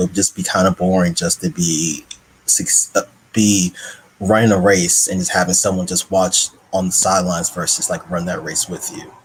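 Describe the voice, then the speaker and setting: A man's very deep, low voice in monotone, flat intonation, over noticeable background noise. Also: moderate pace. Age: young. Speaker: doctor. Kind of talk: online panel discussion. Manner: halting.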